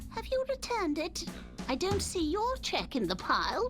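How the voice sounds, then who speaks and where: A woman uses a put-on character voice at a moderate pace. Clear music plays in the background. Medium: game stream. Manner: coy, teasing.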